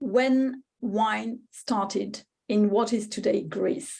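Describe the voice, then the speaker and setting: Someone with a French accent talks at a very slow pace. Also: woman. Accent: French accent, noticeable. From France, Spanish-speaking home. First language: Spanish. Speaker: wine writer and speaker. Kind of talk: lecture. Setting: webinar. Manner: hesitant, many fillers.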